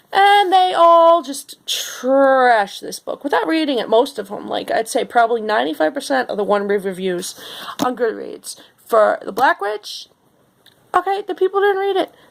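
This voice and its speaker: With a New York accent, a woman speaks at a moderate pace in a high pitch, her voice showing very wide pitch swings. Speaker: book blogger. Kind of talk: book review rant. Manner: animated.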